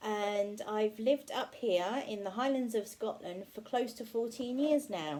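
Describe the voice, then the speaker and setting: Against noticeable background noise, a woman with a fairly high pitch speaks at a fairly slow pace. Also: ordinary pitch variation, hardly any pauses. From southern England, Berkshire near London. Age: 30s. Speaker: vlogger. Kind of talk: casual chat to camera. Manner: halting, many fillers and repeats.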